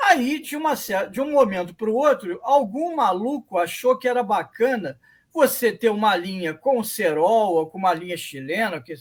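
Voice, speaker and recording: A man with a high pitch talks at a moderate pace with hardly any pauses, his pitch swinging very widely. The recording is very clean, with a silent background. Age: 60s. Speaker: radio debate panelist. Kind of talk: radio panel debate.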